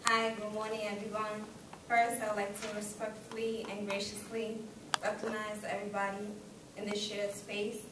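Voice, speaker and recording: Speech at a moderate pace comes with audible room echo and noticeable background noise. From Kenya. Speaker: student giving graduation speech. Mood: formal, grateful. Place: classroom. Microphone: camera far.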